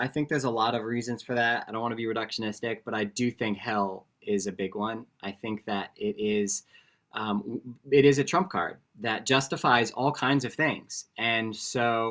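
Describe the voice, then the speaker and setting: On a very clean recording with a silent background, a man with an ordinary speaking voice talks at a moderate pace and medium pitch. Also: ordinary pitch variation. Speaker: author and former pastor. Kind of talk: interview.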